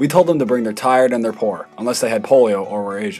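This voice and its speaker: Music plays in the background as a man speaks very fast. His pitch is medium and his intonation lively. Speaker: student animator narrating his own satirical history video. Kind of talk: comedic satirical history narration. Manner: irreverent, sarcastic.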